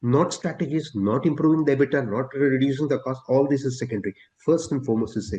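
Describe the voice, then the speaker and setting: In an Indian accent, the voice runs at a very fast pace with a dark, mellow, somewhat breathy tone and ordinary pitch variation. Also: man, medium pitch for a man. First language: Telugu. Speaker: steel industry executive. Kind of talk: interview.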